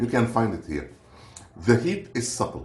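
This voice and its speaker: Amid audible room echo, a man with a non-native accent speaks at a medium pitch with very wide pitch swings. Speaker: food reviewer. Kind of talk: product review. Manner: casual, hesitant.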